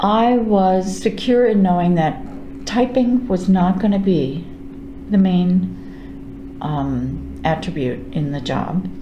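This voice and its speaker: A woman talks at a very slow pace in an American accent. There is noticeable background noise and audible room echo. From New York. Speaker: retiring librarian. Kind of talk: oral history interview. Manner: halting with fillers.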